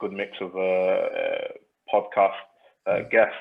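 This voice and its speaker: The speaker is a man with a Northern English accent. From Northern England. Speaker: venture capital investor. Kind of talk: podcast interview answer. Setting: remote call from an office.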